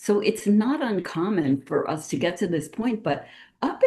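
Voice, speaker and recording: A woman speaks at a fairly slow pace. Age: 60s. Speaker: naturopathic doctor. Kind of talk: interview. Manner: halting, self-correcting.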